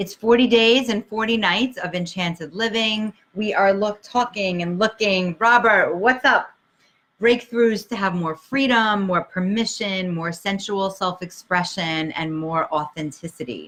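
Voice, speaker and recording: In a Brooklyn accent, a woman speaks at a medium pitch and a fairly slow pace, with ordinary pitch variation. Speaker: life coach. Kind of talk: livestream talk. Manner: animated.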